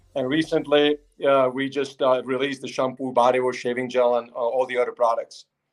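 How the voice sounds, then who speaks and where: Speaking with a Czech accent, a man talks at a fairly quick pace at medium pitch, his intonation monotone and flat. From Czech Republic, Prague. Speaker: company founder. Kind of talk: interview on livestream. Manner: halting, many fillers.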